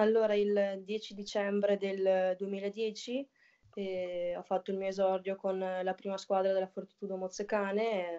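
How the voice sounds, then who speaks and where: The voice has monotone, flat intonation over a quiet background. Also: woman, medium pitch for a woman, fairly slow pace. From northern Italy. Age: 20s. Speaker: women's footballer. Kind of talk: casual interview. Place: home room. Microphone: video call.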